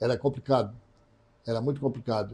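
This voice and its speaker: In a dark, mellow, somewhat breathy voice, a man talks with ordinary pitch variation. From Santa Catarina, Brazil (Tubarão). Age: 70s. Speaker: radio broadcaster and journalist. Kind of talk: interview.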